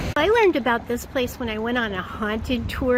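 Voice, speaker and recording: Over noticeable background noise, a woman talks at a fairly quick pace in a fairly high voice. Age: old. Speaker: voice actor. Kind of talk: casual talk to camera. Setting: outdoors. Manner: upbeat.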